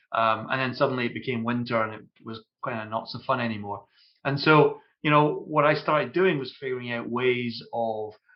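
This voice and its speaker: With a Scottish accent, a man speaks fairly quickly at a medium pitch and with fairly even intonation. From Scotland. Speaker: ERP consultant, company founder. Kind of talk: podcast interview. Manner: hesitant, many fillers.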